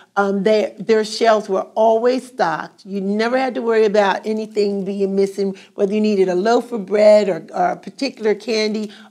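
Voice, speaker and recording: A woman speaks in an American accent with a dark, mellow tone. Her pace is moderate and her intonation fairly even. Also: quiet background. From Glassboro, New Jersey. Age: 70s. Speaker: oral history interviewee. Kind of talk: oral history interview answer. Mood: warm, nostalgic. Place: classroom.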